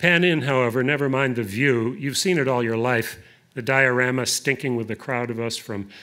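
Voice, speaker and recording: The voice has a bright, sharp tone and fairly even intonation. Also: man. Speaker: poet. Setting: stage with audience at a museum reading. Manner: deliberate, lyrical, unhurried with rolling cadence. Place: hall. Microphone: podium.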